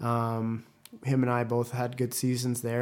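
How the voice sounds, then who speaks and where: A man talks at a moderate pace with a General American accent and a medium pitch. His intonation stays monotone and flat. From Las Vegas, US. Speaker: ice hockey player. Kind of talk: interview.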